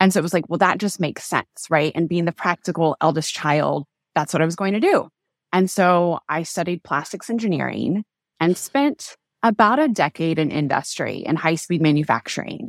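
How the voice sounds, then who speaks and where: A woman with an American accent speaks at a moderate pace, her fairly low pitch showing ordinary variation. The recording is very clean with a silent background and a dry, close sound with no echo. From US Midwest (southwestern Kansas, small town). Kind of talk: casual interview conversation. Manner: animated.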